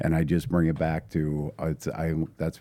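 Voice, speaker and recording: A man's very deep, low voice with a dark, mellow tone and an Upper Midwest accent, on a very clean recording with a silent background. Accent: Upper Midwest (Minnesota). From northern Minnesota, International Falls. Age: 50s. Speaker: high school football coach and math teacher. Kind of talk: casual interview conversation.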